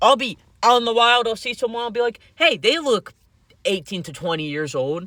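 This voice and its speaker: A man's raised, projected voice, bright and sharp in tone, with lively intonation at a moderate pace, on a very clean recording with a silent background. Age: 20s. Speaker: vlogger. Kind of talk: casual monologue vlog. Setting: outdoors in driveway. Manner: rambling, hesitant with fillers.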